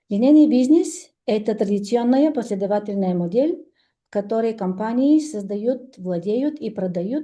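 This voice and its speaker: Somewhat breathy with a dark, mellow tone, a woman speaks fairly slowly at a fairly high pitch, swinging very widely in pitch amid audible room echo. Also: big swings in loudness. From Bulgaria. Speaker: entrepreneur, business speaker. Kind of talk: presentation read from phone. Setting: stage with audience. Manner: halting, many fillers.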